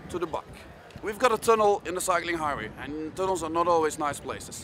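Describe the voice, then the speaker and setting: A man's high voice with ordinary pitch variation, dry with no echo, over light background noise. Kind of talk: interview answer. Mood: enthusiastic, explanatory. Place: street.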